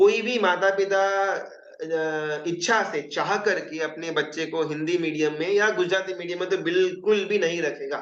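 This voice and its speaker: Speaking with a Gujarati accent, the voice keeps a fairly even intonation and hardly pauses at all. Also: man, high pitch for a man. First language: Gujarati (speaking Hindi). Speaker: Jain religious teacher. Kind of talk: lecture. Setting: live Zoom class. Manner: conversational, with hesitations and self-corrections.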